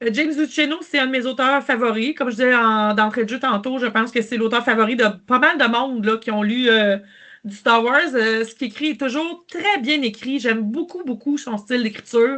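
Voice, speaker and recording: A woman with a Quebec accent speaks at a moderate pace with a high pitch, a bright, sharp tone and ordinary pitch variation. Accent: Québécois. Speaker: podcast host. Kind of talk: casual chat. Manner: halting, many fillers and repetitions.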